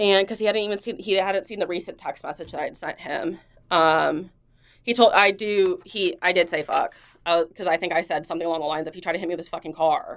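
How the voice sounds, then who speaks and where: A woman with a fairly low pitch speaks at a very fast pace, with ordinary pitch variation, on a very clean recording with a silent background. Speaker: police detective. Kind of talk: internal affairs interview. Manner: loud.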